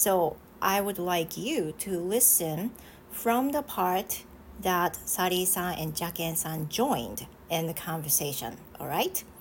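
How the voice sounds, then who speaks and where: A woman speaks in a Japanese accent, fairly low in pitch and fairly slow in pace, with lively intonation. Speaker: English teacher. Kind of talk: casual chat. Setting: live stream.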